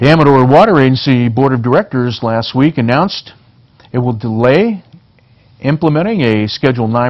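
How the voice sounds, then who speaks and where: At a fairly quick pace, a man with a plain, everyday voice speaks at medium pitch with ordinary pitch variation. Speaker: local TV news anchor. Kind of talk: local TV newscast reading headlines and stories.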